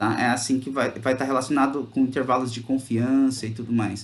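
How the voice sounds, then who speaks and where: Speaking at a medium pitch with fairly even intonation, a man keeps a moderate pace. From interior of São Paulo state, Brazil. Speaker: teacher. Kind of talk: online class. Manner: casual, conversational.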